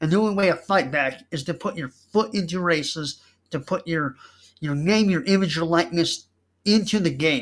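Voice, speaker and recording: A loud man's voice, high in pitch, with ordinary pitch variation and a moderate pace, on a very clean recording with a silent background. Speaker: political candidate and online show host. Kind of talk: campaign speech. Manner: animated.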